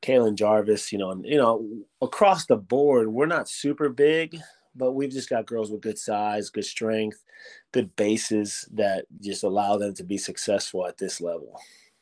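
In an ordinary speaking voice with an American accent, a man talks at a moderate pace and medium pitch with ordinary pitch variation, on a very clean recording with a silent background. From Miami, Florida. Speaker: high school girls basketball coach. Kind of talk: casual interview.

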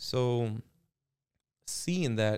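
The voice belongs to a man. His pitch is medium. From Miami, Florida. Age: 30s. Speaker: roofing company owner. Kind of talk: podcast interview. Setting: studio.

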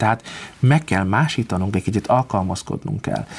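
A man's fairly low-pitched voice moves at a very fast pace. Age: 30s. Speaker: concert pianist. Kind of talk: interview.

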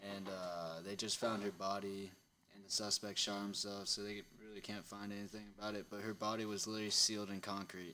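A man's fairly low voice, bright and sharp, fairly quick and monotone with flat intonation. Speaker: producer reading news. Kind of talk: news reading.

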